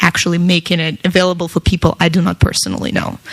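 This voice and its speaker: Against noticeable background noise, a woman with a Russian accent speaks fairly quickly in a fairly low pitch for a woman. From Russia, Moscow. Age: 20s. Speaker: tech entrepreneur and speaker. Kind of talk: talk to an audience.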